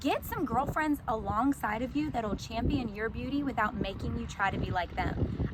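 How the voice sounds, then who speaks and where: At a moderate pace, a woman sounds animated, with ordinary pitch variation and noticeable background noise. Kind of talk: casual inspirational talk to camera. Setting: outdoors in a sunflower field. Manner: loud.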